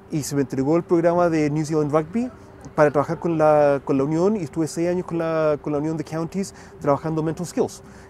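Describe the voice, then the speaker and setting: A man talks at a fairly quick pace in a fairly high pitch. His intonation stays fairly even. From Chile, raised partly in the US. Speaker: rugby mental skills coach and educator. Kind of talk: podcast interview. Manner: halting, frequent self-corrections.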